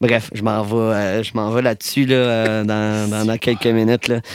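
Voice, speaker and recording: Man at a very slow pace and medium pitch, hardly any pauses, with noticeable background noise. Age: 20s. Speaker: DJ. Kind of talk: casual chat. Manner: animated.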